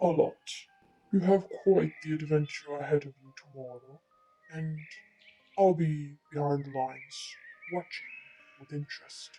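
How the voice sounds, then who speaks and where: Someone puts on a raspy character voice at a middle pitch, keeping a moderate pace broken by long, frequent pauses. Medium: read story. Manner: condescending, grumpy.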